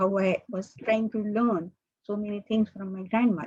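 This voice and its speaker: A woman's voice has a dark, mellow tone, somewhat breathy and fairly high in pitch. She speaks at a fairly slow pace. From India, Mumbai. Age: 70s. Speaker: mathematician. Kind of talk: invited talk. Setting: video call. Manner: halting.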